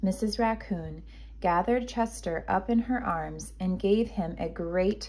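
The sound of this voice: An unforced reading voice, its pitch moving in the usual way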